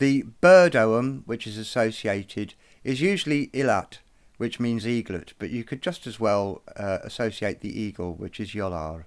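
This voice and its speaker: With lively intonation, a man speaks at a medium pitch and a moderate pace in a very clean recording with a silent background. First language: not Irish (speaks English). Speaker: druid and bard, video presenter. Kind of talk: educational tutorial. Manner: hesitant with fillers.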